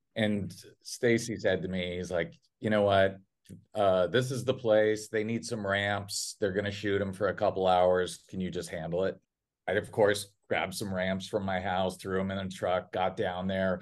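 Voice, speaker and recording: A man's ordinary speaking voice, fairly low in pitch, at a moderate pace against a quiet background. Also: fairly even intonation. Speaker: film director. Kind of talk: casual chat.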